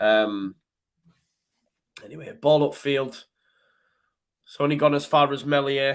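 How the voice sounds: Speaking at a slow pace, a man shows ordinary pitch variation. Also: medium pitch for a man.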